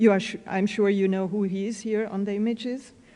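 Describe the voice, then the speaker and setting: With a German accent, a woman talks at a moderate pace at medium pitch, her intonation fairly even. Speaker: fashion historian and curator. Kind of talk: lecture. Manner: reading from a prepared text.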